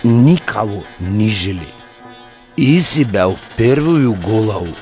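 A man does a put-on character voice at a slow pace, fairly low in pitch with a slightly mellow tone, a slightly husky edge and lively intonation, while faint music plays in the background.

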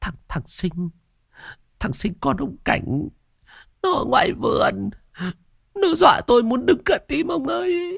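A man's put-on character voice, extremely high and fairly bright, with vocal fry, a slightly husky edge, big pitch swings, a fairly slow pace, long and frequent pauses, and a very clean recording with a silent background

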